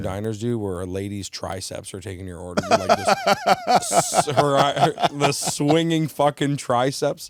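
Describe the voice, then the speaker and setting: A man talks at a fairly slow pace with hardly any pauses, his fairly high pitch swinging very widely. His loudness varies a lot against noticeable background noise. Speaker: stand-up comedian. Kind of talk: podcast interview answer. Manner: casual, profane, joking.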